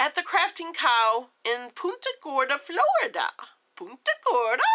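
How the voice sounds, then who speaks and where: Her intonation is lively. The woman's voice is raised and projected. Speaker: vlogger. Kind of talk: casual vlog.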